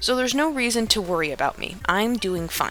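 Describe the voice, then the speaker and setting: With music in the background, a woman speaks at a fairly quick pace with lively intonation. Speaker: writing video creator. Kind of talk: casual vlog monologue. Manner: slurred speech at times.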